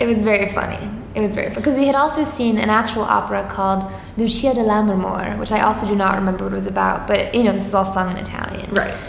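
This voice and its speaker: Someone with an American accent speaks at a very fast pace over noticeable background noise. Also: woman, medium pitch for a woman, ordinary pitch variation. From Long Island, New York (Suffolk County). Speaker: comedian. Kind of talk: casual chat. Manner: mellow.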